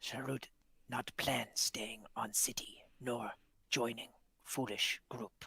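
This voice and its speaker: A man's whispered put-on character voice, very slow, in a dry, close sound with no echo. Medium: actual play. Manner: broken third-person speech.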